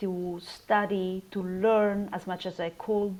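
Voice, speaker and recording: This woman has an Italian accent. Her voice sits at medium pitch. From Italy. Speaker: research scientist. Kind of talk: interview.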